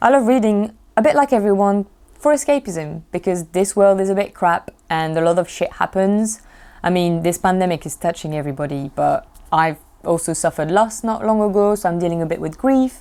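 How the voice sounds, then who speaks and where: A woman speaks at a moderate pace with lively intonation. Her pitch is medium and her tone is dark and mellow. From France. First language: French. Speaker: booktuber, TV development freelancer. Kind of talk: casual vlog monologue.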